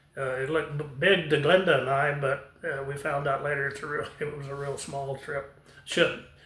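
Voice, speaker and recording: Over noticeable background noise and audible room echo, a man speaks. His voice is fairly high and his pace moderate. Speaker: retired airline pilot. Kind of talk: personal storytelling. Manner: halting, many fillers.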